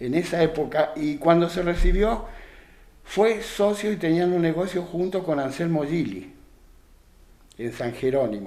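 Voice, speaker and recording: A man's high-pitched, dark and mellow voice with a Rioplatense accent, lively intonation, a fairly slow pace and long, frequent pauses. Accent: Argentine Spanish (rioplatense). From Argentina, Santa Fe province (San Carlos area). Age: 70s. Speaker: retired rural worker and craftsman. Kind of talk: radio interview. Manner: halting, with frequent repetitions.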